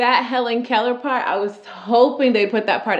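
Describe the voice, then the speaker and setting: Against noticeable background noise, a woman talks at a moderate pace in an animated tone. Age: 20s. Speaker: YouTuber and teacher. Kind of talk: reaction commentary.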